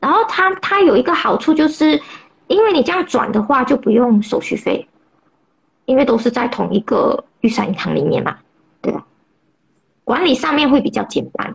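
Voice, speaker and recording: Pausing long and often, a woman with a high pitch moves at a moderate pace through very wide pitch swings. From Malaysia. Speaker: personal finance blogger. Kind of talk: interview. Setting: Instagram livestream. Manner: halting, many fillers.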